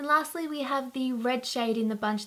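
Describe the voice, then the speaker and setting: A woman with an Australian accent at a moderate pace, with fairly even intonation. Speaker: beauty vlogger. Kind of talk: casual product review to camera.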